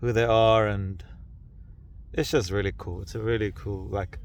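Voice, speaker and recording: A man with a fairly low pitch speaks at a moderate pace, showing ordinary pitch variation. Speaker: hiker and vlogger. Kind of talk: casual video diary. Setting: outdoors on mountain summit at night. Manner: loud.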